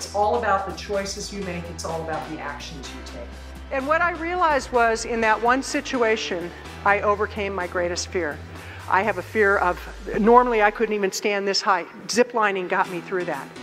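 Speaking with an American accent, a woman sounds energetic at a moderate pace. Her loudness swings widely, and faint music plays in the background. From United States. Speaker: motivational speaker. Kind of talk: keynote speech. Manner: energetic, powerful. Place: stage.

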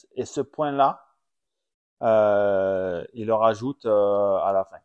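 Man at a medium pitch with ordinary pitch variation and a very slow pace, the sound dry and close with no echo against a quiet background. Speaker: former supercross racer and podcast host. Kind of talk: casual chat. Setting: at home.

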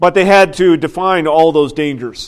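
A man speaks at a moderate pace against a quiet background. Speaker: pastor. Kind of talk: sermon. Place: church.

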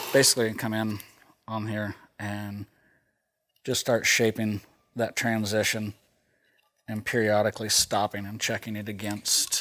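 A man's bright, sharp tone, monotone and flat, at a fairly slow pace with long, frequent pauses. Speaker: sharpening instructor. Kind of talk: tutorial. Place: workshop. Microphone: lapel.

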